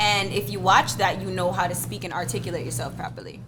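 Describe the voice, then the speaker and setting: In an American accent, a woman talks at a fairly quick pace amid noticeable background noise and audible room echo. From Jamaica, Clarendon. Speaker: hair YouTuber and business owner. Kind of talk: casual podcast interview.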